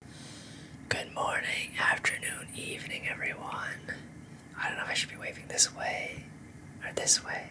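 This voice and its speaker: A fairly slow whisper set against noticeable background noise. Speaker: ASMR creator. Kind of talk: ASMR trigger video talk. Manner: soft-spoken.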